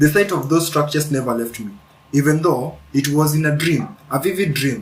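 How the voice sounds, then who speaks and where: The man talks at a moderate pace in a somewhat breathy voice, pitched fairly high with ordinary variation. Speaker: spiritual video creator. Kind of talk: spiritual monologue. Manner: halting, repeats words.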